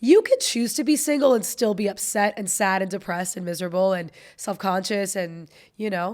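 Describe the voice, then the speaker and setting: On a very clean recording with a silent background, the speaker talks at a fairly quick pace in an American accent with ordinary pitch variation. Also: woman, medium pitch for a woman. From South Florida, Fort Lauderdale. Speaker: podcast co-host, stand-up comedian. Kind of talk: casual chat. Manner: animated.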